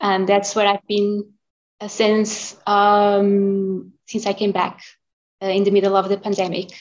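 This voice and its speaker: In a Portuguese accent, a woman speaks at a fairly slow pace and a medium pitch. Her intonation is monotone and flat, and her loudness stays very even. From Portugal, Porto. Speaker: classical singer. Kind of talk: interview. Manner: halting.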